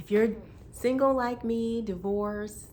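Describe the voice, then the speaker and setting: Her moderately paced speech, a woman's, has fairly even intonation and audible room echo. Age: 60s. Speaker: YouTuber and life coach. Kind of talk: channel welcome vlog.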